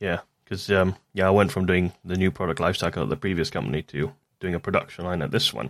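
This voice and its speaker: In an English accent, a man with a very deep, low voice and vocal fry speaks very fast with ordinary pitch variation on a very clean recording with a silent background. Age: 30s. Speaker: podcast host, mechanical engineer. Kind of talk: casual chat.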